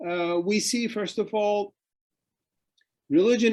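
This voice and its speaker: A man speaks with a Turkish accent. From Turkey. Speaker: author and think-tank fellow on Islam. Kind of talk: interview talk. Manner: hesitant with fillers and restarts.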